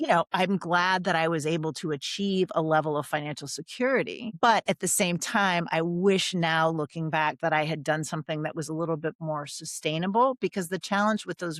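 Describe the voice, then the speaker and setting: On a very clean recording with a silent background, a woman has a plain, everyday voice. Her pitch is fairly low with ordinary pitch variation, at a moderate pace with hardly any pauses. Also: dry, close sound with no echo. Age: 60s. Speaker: guest author, former business developer. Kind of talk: interview testimony.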